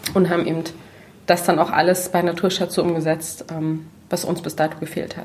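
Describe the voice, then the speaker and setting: A woman with a fairly low pitch speaks at a fairly quick pace in a monotone, flat intonation, with noticeable background noise behind her. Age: 30s. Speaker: natural cosmetics entrepreneur. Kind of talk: casual chat.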